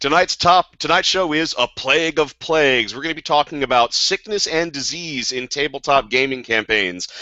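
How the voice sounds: Someone uses a raspy, put-on character voice at a moderate pace. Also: man, fairly high pitch for a man.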